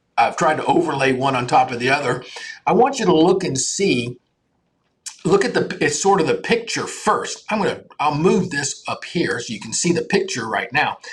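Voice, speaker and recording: Speaking at a moderate pace, a man uses a high pitch with very wide swings. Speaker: doctor hosting a live health show. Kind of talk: live health talk to camera. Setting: live video stream. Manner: casual, with many fillers and restarts.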